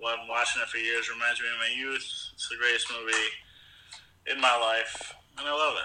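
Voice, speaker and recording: Noticeable background noise sits behind a man speaking in a monotone, flat intonation. He talks at a fairly quick pace but with long, frequent pauses. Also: medium pitch for a man. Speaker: podcast co-host. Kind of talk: casual chat.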